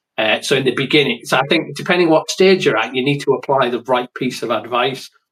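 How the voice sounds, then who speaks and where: A man speaks at a fairly quick pace with an English accent. His pitch is medium, with ordinary variation. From England. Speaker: writer. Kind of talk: interview.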